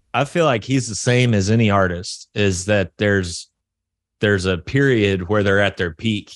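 A man with a Southern US accent speaks at a fairly low pitch with ordinary pitch variation and very even loudness. The sound is dry and close with no echo, against a quiet background. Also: moderate pace. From US South. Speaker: metal musician. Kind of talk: interview. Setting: video call.

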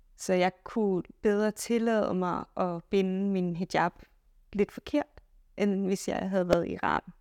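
Delivery is very slow. The pitch holds fairly even. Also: woman, medium pitch for a woman, dry, close sound with no echo. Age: 30s. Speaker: physicist and solo traveller. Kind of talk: interview.

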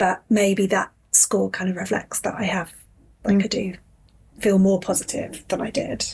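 A woman speaks in a somewhat breathy voice at a medium pitch. Her intonation is fairly even, broken by long, frequent pauses. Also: moderate pace. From Yorkshire. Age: 30s. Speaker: fitness client. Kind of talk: casual interview chat.

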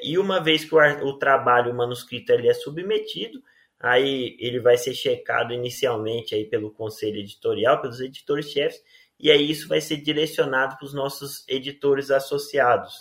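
A man's ordinary speaking voice, pitched fairly high, at a moderate pace and with ordinary pitch variation. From Rio Verde, Goiás, Brazil. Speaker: agronomy professor and journal editor. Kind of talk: interview.

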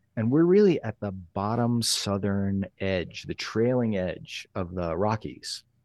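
An ordinary speaking voice, a man's fairly low one, moves at a fairly slow pace with lively intonation and hardly any pauses, the sound dry and close with no echo over a quiet background. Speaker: photographer. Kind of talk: casual conversational podcast interview.

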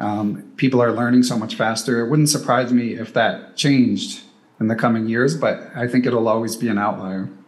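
There is audible room echo around a man with an American accent. His pitch is medium, his intonation fairly even and his pace moderate. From US Northeast, Philadelphia. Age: 40s. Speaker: chess podcaster and club player. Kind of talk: casual chat.

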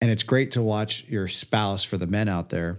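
A man talks at a moderate pace in a plain, everyday voice, his pitch fairly low with ordinary variation. The background is quiet. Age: 30s. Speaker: entrepreneur and coach. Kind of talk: casual chat.

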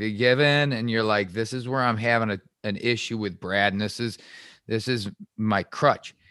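Speaking with an American accent, a man keeps his intonation fairly even in a bright, sharp tone. The recording is very clean, with a silent background. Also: medium pitch for a man, moderate pace. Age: 40s. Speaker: podcast host. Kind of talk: casual interview.

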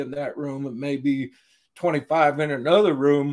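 Using a normal speaking voice, a man with a fairly high pitch talks fairly slowly with fairly even intonation on a very clean recording with a silent background. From US Southwest, eastern New Mexico. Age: 60s. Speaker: prison chaplain. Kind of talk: interview.

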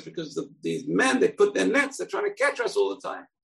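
A man puts on a character voice with a high pitch, very wide pitch swings, and a fairly quick pace. His tone is fairly bright, with vocal fry and a slightly husky edge.

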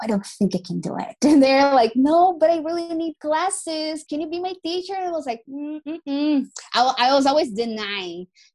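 The voice moves at a moderate pace through very wide pitch swings. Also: woman, high pitch for a woman. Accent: Brazilian. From Brazil. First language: Portuguese. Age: 20s. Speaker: English teacher. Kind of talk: casual chat. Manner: talkative; animated.

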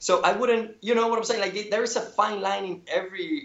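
With a Spanish accent, a man is talking. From Cuba. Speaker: painter. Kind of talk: casual interview chat.

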